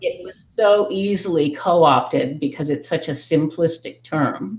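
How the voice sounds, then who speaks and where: The speaker has an American accent. The pace is fairly slow. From United States. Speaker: livestream participant. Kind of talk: casual group discussion. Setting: video call. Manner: halting.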